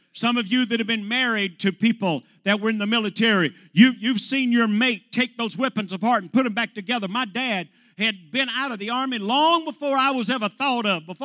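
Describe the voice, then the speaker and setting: A man's extremely high, bright and sharp voice, raised and projected, animated in tone with ordinary pitch variation, at a fairly quick pace with hardly any pauses, on a very clean recording with a silent background. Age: 60s. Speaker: pastor. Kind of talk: sermon. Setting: church.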